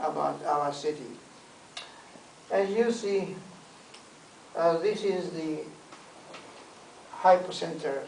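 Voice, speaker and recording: A man with a Japanese accent speaks very slowly at a high pitch, using ordinary pitch variation and long, frequent pauses. Noticeable background noise and audible room echo fill the recording. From Japan, Hiroshima. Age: 80s+. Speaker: war survivor. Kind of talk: testimony. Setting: talk to a visiting delegation. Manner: halting.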